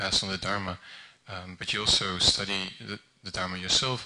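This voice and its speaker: A man with a Dutch accent, fairly low in pitch, bright and sharp in tone, at a moderate pace. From Netherlands. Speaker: Buddhist translator volunteer. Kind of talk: public talk at commemorative event. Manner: halting, many fillers and restarts.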